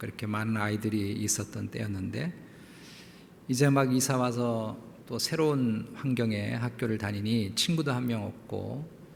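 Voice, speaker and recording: Audible room echo surrounds a man of medium pitch speaking at a fairly slow pace with ordinary pitch variation. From South Korea (Jeolla, Seoul, Incheon). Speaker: pastor. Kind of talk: sermon.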